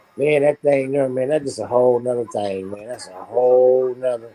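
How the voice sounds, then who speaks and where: A man speaks at medium pitch and a fairly quick pace. Background noise is noticeable. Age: 60s. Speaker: talk show host. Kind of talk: casual chat. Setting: live online stream.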